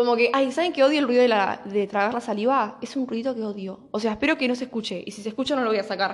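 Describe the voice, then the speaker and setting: A woman's fairly high, animated voice in a Rioplatense accent, very fast with hardly any pauses and ordinary pitch variation. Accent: Argentine Rioplatense Spanish. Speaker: podcast host. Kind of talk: casual monologue.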